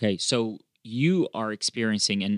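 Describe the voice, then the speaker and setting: A man in a normal speaking voice, fairly low in pitch with ordinary pitch variation, on a very clean recording with a silent background. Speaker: economics professor host. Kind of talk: casual interview chat.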